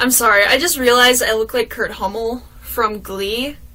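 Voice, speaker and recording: At a moderate pace and a fairly high pitch, a woman speaks over noticeable background noise. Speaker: vlogger. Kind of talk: casual chat. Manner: animated.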